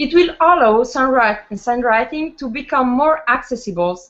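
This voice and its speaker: Speaking fairly slowly with an Italian accent, a woman uses a high pitch and lively intonation. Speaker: linguist, researcher. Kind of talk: conference presentation. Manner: halting, many fillers.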